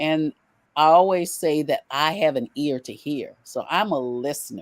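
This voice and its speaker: A woman's very deep, low voice at a fairly slow pace with ordinary pitch variation, in a very clean recording with a silent background. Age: 70s. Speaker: pastor. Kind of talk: interview.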